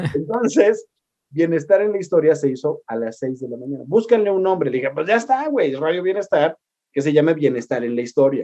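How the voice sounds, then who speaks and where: The voice has a dark, mellow tone and lively intonation, moving at a fairly quick pace with big swings in loudness. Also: man, fairly high pitch for a man. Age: 40s. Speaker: historian and radio host. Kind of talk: casual interview chat. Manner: animated.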